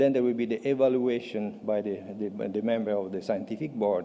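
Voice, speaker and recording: Here a man speaks at a medium pitch with an Italian accent. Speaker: patient advocate. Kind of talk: conference presentation. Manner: halting.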